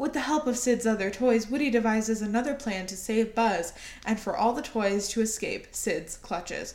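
Moderately paced speech from a woman, fairly high in pitch, with ordinary pitch variation over noticeable background noise. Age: 20s. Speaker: podcast co-host. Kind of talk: casual chat.

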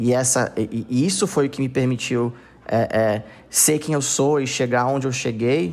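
A man speaks at a moderate pace. His medium-pitched voice shows ordinary pitch variation. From Brazil, Manaus (Amazonas). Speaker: tech entrepreneur, company founder. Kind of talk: podcast interview. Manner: halting, many repeated fillers.

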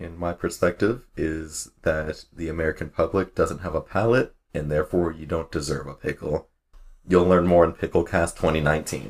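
In a very clean recording with a silent background, a man with a very deep, low pitch speaks somewhat breathily at a moderate pace with fairly even intonation. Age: 20s. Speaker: podcast co-host. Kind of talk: casual chat.

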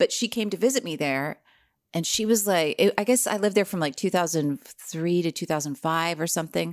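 In an unremarkable speaking voice, a woman with an American accent talks at a fairly quick pace with lively intonation and a fairly low pitch. The sound is dry and close with no echo, a very clean recording with a silent background. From US Northeast, New Jersey. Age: 40s. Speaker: actress and improviser. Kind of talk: casual chat.

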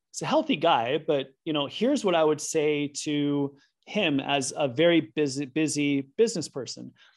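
A man with an unremarkable speaking voice and a fairly high pitch talks at a moderate pace with ordinary pitch variation, on a very clean recording with a silent background. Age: 50s. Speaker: sleep and performance scientist. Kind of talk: interview.

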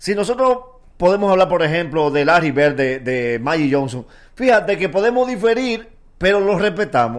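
A man talks at a moderate pace in a high voice, his pitch swinging very widely. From Dominican Republic, Nagua area. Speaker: comedian. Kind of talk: casual chat. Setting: studio.

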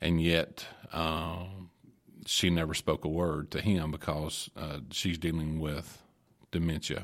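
In a Kentucky accent, a man with a very deep, low voice speaks very slowly in a monotone, flat intonation, on a very clean recording with a silent background. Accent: southern US (Kentucky). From Glasgow, Kentucky. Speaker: minister. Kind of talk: casual chat. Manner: halting.

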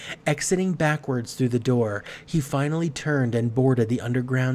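The pitch shifts in an ordinary way as a natural reading voice goes on.

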